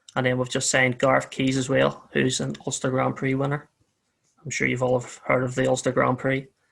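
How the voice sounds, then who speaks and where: At a fairly quick pace, a man speaks in a Northern Irish accent. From Northern Ireland. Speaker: motorcycle racer and team owner. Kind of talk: podcast interview.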